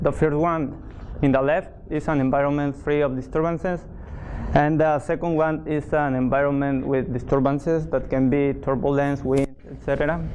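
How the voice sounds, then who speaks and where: A speaker with a non-native accent talks at a moderate pace in a monotone, flat intonation. Noticeable background noise is present. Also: man, fairly high pitch for a man. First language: Spanish. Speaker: research intern presenting project. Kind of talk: technical presentation. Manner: halting, with fillers.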